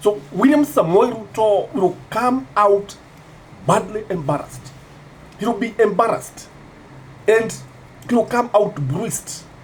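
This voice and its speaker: Over noticeable background noise, a man with a high pitch and lively intonation talks at a fairly slow pace, leaving long, frequent pauses. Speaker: political commentator. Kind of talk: political commentary vlog.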